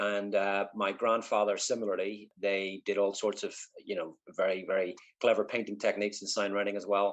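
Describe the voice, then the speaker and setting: In a Northern Irish accent, a man speaks at a fairly low pitch with monotone, flat intonation. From Northern Ireland, East Belfast. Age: 50s. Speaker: artist. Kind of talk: interview. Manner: halting, many fillers.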